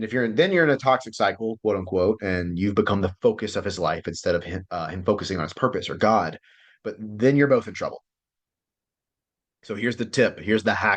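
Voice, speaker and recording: Against a quiet background, a man talks at a fairly quick pace with a fairly low pitch and ordinary pitch variation. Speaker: relationship coach. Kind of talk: online class lecture. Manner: fast; animated.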